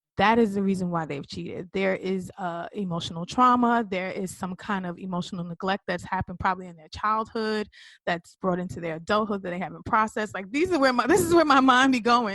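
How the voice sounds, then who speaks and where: Speaking loudly at a fairly quick pace with hardly any pauses, a woman with a medium-pitched voice comes through against a quiet background. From New York, the Bronx. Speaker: interview guest. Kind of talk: casual interview.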